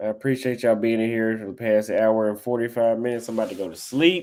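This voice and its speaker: A man with an American accent talks at a medium pitch and a fairly quick pace with fairly even intonation. The recording is very clean, with a silent background. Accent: Texas country, slips out when relaxed. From Texas. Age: 30s. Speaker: livestreamer. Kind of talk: casual livestream chat. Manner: relaxed.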